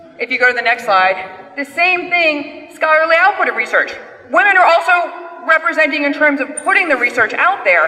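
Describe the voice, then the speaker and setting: A woman's raised, projected voice at an extremely high pitch, lively in intonation, over noticeable background noise. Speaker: panel moderator. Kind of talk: conference presentation. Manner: fast.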